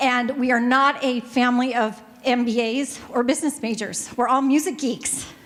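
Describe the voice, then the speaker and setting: Over noticeable background noise, a woman with an American accent speaks in an animated tone at a high pitch and moderate pace, with hardly any pauses. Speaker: family music store owner, business panelist. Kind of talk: panel presentation.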